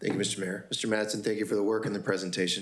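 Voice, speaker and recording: Audible room echo surrounds a man whose voice sits fairly low. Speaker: city councilmember. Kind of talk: council meeting questioning. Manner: fast.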